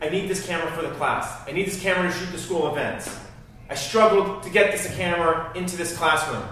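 Strong room echo and light background noise surround a man talking very fast. His high voice stays monotone and flat. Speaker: teacher. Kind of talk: scripted drama scene, teacher addressing class. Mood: upset, serious. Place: classroom.

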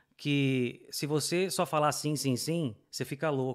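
A man's fairly high voice at a fairly slow pace, with ordinary pitch variation and a quiet background. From Brazil. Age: 30s. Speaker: immigrant business owner and motorcyclist; podcast guest. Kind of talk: casual interview chat. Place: studio. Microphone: studio mic.

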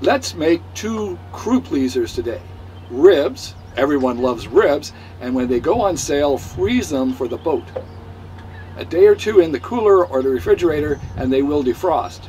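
A man's pitch swings very widely while light noise sits in the background. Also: moderate pace. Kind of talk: tutorial. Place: boat. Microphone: camera far.

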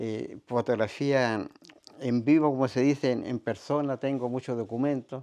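A man's dark, mellow tone at a moderate pace, with fairly even intonation over a quiet background. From northern Chile, raised in Vicuña; northern Chile. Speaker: retired ambulance driver and heritage photo archivist. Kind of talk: interview. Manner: halting. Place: home room.

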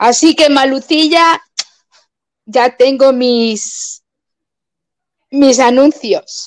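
At a very slow pace and with long, frequent pauses, a woman speaks in a high pitch over a quiet background. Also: ordinary pitch variation. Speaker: YouTuber, viewer of the live stream; YouTuber. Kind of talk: casual chat. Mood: cheerful, joking. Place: home room. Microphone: webcam.

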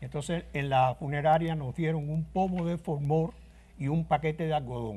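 Somewhat breathy and dark, mellow in tone, a man's fairly high voice holds fairly even intonation. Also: moderate pace. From Cuba (Guanabacoa, Havana); Cuba. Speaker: trumpet player. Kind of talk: interview. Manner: halting. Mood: somber storytelling. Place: studio.

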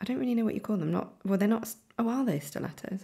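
A woman speaks with a British accent. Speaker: fashion content creator. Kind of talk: casual voiceover commentary. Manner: hesitant, with many ums.

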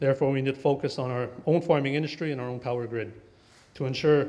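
Very rapid delivery with fairly level intonation. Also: man. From Kahnawake, Quebec. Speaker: council candidate. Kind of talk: campaign speech. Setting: stage with audience. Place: hall.

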